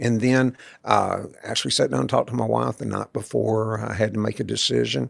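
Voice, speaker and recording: A man with a Texas accent talks at a fairly quick pace. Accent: Texas Southern US. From Central Texas. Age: 60s. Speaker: author. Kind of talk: interview. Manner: halting, many fillers.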